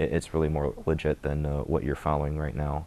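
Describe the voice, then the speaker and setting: A man with a Midwestern accent speaks at a moderate pace in a very deep, low pitch with a dark, mellow tone. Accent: general American, Midwestern. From US Midwest (Michigan). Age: 20s. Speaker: convert to Islam. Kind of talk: testimony. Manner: hesitant, many filler words. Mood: reflective, calm. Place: studio. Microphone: lapel.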